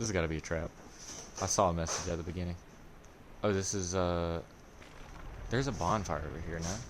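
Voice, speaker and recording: In a room with audible echo, a man with a very deep, low pitch speaks at a very fast pace yet leaves long, frequent pauses. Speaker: gaming streamer. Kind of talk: live gameplay commentary. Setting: live stream. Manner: monotone; casual, halting.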